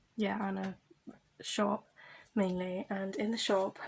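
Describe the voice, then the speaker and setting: This is a woman's voice. Her pitch is medium. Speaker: YouTuber. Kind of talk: storytime vlog. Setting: at home, late at night. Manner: soft-spoken; hesitant, many fillers. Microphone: quiet volume.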